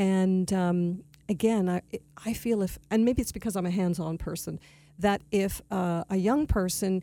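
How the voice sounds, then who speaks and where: With a Canadian accent, a woman speaks at medium pitch in a dark, mellow tone with ordinary pitch variation, in a very clean recording with a silent background. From Canada (Toronto). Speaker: arts center executive director. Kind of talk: radio interview.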